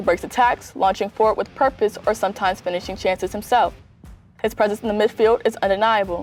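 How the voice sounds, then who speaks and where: Over music in the background, a woman talks at a very fast pace in a medium pitch with fairly even intonation. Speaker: student news reporter. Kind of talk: TV news report.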